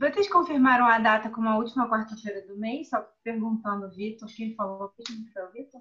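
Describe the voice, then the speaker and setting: A woman with a plain, everyday voice, fairly high in pitch, at a moderate pace with hardly any pauses, ordinary pitch variation and big swings in loudness. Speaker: member of a reading/study group. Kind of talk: casual group discussion. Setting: video call.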